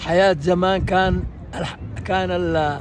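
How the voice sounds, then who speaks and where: A man speaks with lively intonation at a fairly high pitch. Crowd noise sounds in the background, and the room echo is audible. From Saudi Arabia, Ghamid region (Al-Baha). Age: 80s+. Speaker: elder recounting old times. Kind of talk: oral history reminiscence. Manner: halting, repeats words.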